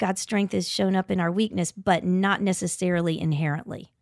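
An unremarkable speaking voice comes from a woman at medium pitch with ordinary pitch variation, on a very clean recording with a silent background and a dry, close sound with no echo. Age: 50s. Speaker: author and speaker. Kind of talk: casual chat.

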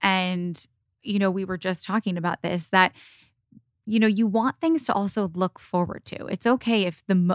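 Here a woman talks with an American accent in a plain, everyday voice. Her pitch is medium and her pace moderate. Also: very clean recording, silent background. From US Midwest, Michigan. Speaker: skincare co-founder and lifestyle influencer. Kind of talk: casual interview chat. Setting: in person studio recording.

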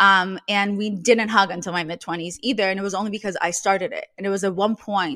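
With a Russian accent and a bright, sharp tone, a woman of medium pitch talks at a fairly quick pace with ordinary pitch variation in a very clean recording over a silent background. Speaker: podcast host and meme creator. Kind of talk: casual interview conversation.

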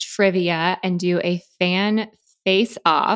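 On a very clean recording with a silent background, a woman speaks at a very slow pace in a medium pitch. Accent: American. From Florida. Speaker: podcast host and actress. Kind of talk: casual chat.

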